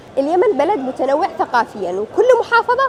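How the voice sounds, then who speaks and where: A woman's pitch swings very widely as she talks at a moderate pace, with noticeable background noise around her. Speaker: street interviewer, YouTuber. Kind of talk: vox pop interview; vlog intro to camera.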